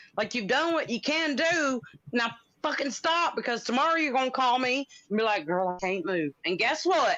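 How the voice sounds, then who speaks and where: A woman with a Southern US accent uses a raised, projected voice, high in pitch and bright and sharp in tone, with very wide pitch swings, very even loudness and a moderate pace. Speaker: livestream guest. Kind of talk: casual chat.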